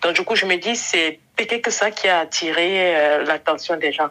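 A woman talking at a moderate pace. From western Cameroon. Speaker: podcast guest. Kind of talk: interview.

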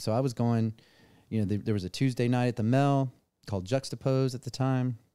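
A man with a medium pitch and a dark, mellow tone is heard on a very clean recording with a silent background. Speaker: event promoter. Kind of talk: casual chat.

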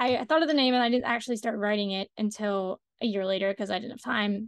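In a normal speaking voice, a woman with a fairly high pitch and ordinary pitch variation is heard in a dry, close sound with no echo over a quiet background. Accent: American. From US, Washington D.C. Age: young. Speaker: playwright and climate activist. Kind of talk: interview.

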